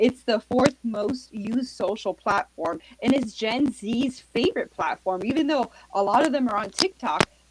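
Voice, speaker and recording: A woman with an American accent has a normal speaking voice, fairly high in pitch. She talks at a moderate pace in a dry, close sound with no echo. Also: lively intonation. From Miami, Florida. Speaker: author and social media marketer. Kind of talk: interview.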